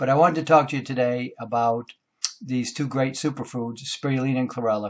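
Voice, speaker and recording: At a fairly quick pace, a man talks in a normal speaking voice of medium pitch. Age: 60s. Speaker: naturopathic doctor. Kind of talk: monologue talk to camera. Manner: casual with frequent fillers.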